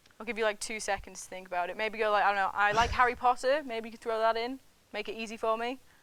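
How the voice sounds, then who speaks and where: A woman with a northern English accent speaks at a very fast pace and fairly high pitch. Her intonation is fairly even, though her loudness swings widely. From northern England. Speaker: student TV show host. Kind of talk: casual interview.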